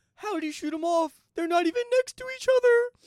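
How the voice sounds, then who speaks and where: A put-on character voice. The pitch sits extremely high. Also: fairly quick pace. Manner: goofy.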